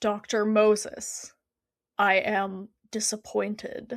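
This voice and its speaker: Using a put-on character voice, a woman speaks very slowly at medium pitch with monotone, flat intonation on a very clean recording with a silent background. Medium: read story. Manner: formal, clipped, coolly polite.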